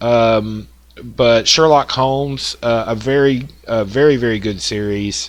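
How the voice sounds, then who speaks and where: A man speaks with a strong Southern US accent. His pitch is medium, with ordinary variation. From US South. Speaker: woodworking software tutorial maker. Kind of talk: tutorial. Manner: casual, with many fillers.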